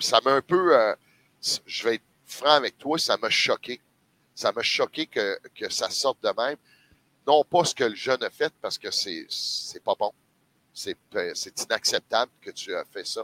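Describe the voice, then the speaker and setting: Dry, close sound with no echo and long, frequent pauses. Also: man, fairly slow pace. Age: 50s. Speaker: sports commentator. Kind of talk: casual chat.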